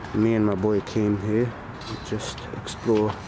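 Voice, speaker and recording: A man's voice over noticeable background noise. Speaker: urban explorer vlogger. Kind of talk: casual vlog chat. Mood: nervous, a bit scared. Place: street. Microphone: phone near.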